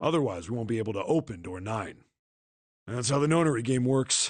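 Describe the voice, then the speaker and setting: A put-on character voice, raspy and fairly quick, with lively intonation over a quiet background. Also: man, medium pitch for a man. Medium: video game. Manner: gruff, blunt.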